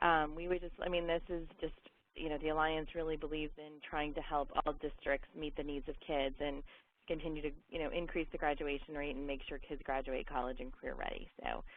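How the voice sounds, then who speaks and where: A woman's very deep, low pitch at a fairly quick pace, with ordinary pitch variation. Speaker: education nonprofit representative. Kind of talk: webinar presentation. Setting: webinar. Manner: fast.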